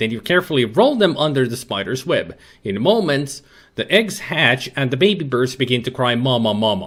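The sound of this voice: An unforced reading voice full of lively intonation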